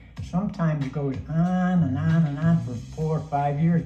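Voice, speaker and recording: A man at a fairly high pitch with ordinary pitch variation and a moderate pace, with audible room echo and music in the background. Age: 80s+. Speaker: cancer patient. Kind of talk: testimony.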